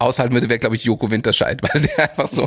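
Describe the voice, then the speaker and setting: A man speaks with fairly even intonation. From Munich, Bavaria. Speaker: podcast host. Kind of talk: interview.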